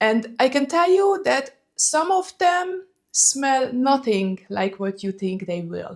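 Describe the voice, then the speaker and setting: A woman with a Hungarian accent talks at a fairly slow pace with very wide pitch swings. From Hungary. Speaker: fragrance vlogger. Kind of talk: casual vlog talk.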